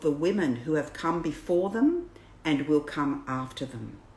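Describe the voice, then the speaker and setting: A woman speaks with an Australian accent. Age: 60s. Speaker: birth educator. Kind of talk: reading aloud. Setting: livestream.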